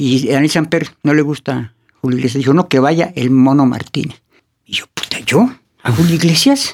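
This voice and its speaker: A man's unremarkable speaking voice, fairly high-pitched, at a moderate pace with fairly even intonation. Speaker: artist manager. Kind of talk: casual interview. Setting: studio.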